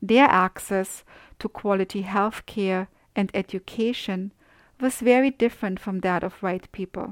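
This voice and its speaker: A woman with a German accent, fairly even intonation, and a dry, close sound with no echo on a very clean recording with a silent background. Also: medium pitch for a woman, fairly slow pace. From Austria. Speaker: podcast host. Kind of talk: scripted narration.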